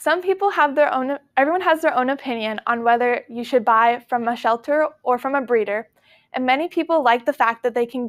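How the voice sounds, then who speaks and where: Against a quiet background, a woman speaks at a moderate pace in a high voice with ordinary pitch variation. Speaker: presenter. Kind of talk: persuasive class speech. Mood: slightly nervous. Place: classroom.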